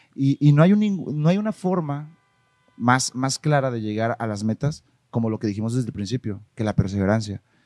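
A man with a Mexican accent talks at a moderate pace and a medium pitch. His intonation is lively, and the sound is dry and close, with no echo. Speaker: marketing agency owner. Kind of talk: casual interview chat. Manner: halting, repeats words.

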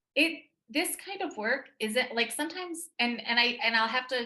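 A bright, sharp tone at a moderate pace, with an American accent. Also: woman. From Texas. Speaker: psychic medium. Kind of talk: casual chat.

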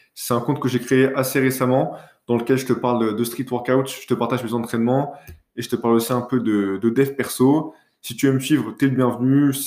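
Here a man talks at a medium pitch in monotone, flat intonation. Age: 20s. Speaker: podcast host, business school student. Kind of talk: casual solo monologue. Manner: hesitant, with fillers and self-corrections.

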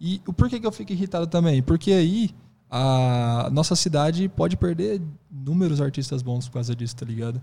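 A man speaks at a moderate pace with a fairly high pitch. His tone is dark and mellow, and somewhat breathy. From Brazil, Presidente Prudente (São Paulo state). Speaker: hip hop dance teacher. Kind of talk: casual interview chat.

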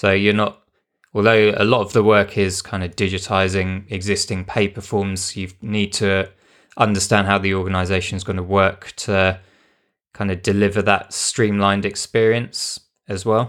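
A strong British accent in flat, monotone delivery at a moderate pace, on a very clean recording with a silent background. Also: man, fairly low pitch for a man. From UK. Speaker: podcast host, UX designer. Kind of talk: casual podcast chat.

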